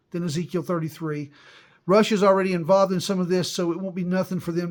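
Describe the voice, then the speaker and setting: Here a man speaks at a very fast pace. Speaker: religious video host. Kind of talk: unscripted religious monologue. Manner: halting, frequent stutters and restarts.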